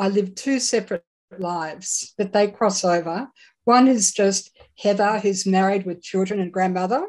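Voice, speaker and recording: Fairly even intonation at a moderate pace with an Australian accent. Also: woman, medium pitch for a woman. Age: 70s. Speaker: psychic medium. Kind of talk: interview.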